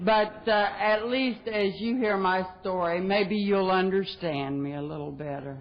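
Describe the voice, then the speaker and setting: With an American accent, a woman speaks at a fairly slow pace and with lively intonation. Audible room echo and noticeable background noise are present. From West Virginia. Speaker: recovering alcoholic speaker. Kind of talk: recovery talk. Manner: folksy, humorous.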